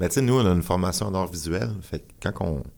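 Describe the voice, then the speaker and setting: With a very deep, low pitch, a man talks at a moderate pace and ordinary pitch variation. The recording is very clean with a silent background. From Quebec, Abitibi-Témiscamingue (Rouyn-Noranda). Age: 40s. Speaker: performance artist and musician. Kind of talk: interview.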